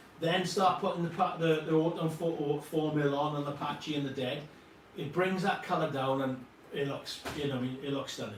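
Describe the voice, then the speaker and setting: Noticeable background noise and audible room echo surround a man whose voice sits fairly high in pitch. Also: fairly quick pace. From Wales. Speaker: model scenery company co-founder. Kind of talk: live product demo. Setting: livestream. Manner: animated, casual with frequent fillers.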